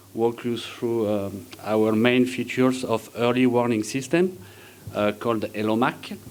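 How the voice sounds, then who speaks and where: A man speaks with a French accent at a medium pitch. His intonation stays fairly even. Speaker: engineer presenting at a conference. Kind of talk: conference presentation. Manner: halting, many fillers.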